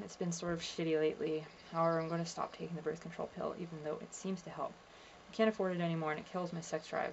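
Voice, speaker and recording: Soft-spoken and very fast, a woman talks with fairly even intonation at a fairly low pitch. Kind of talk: reading diary entries aloud to camera.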